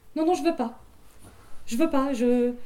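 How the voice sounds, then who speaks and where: Very wide pitch swings mark this speech, delivered at a moderate pace. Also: woman. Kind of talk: storytelling. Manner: conversational oral-tale pace with hesitations and repeated words.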